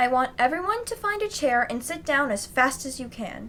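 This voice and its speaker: A put-on character voice with very wide pitch swings, big jumps in loudness, a moderate pace and clear background noise. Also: woman, high pitch for a woman. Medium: read story. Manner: calm, instructive.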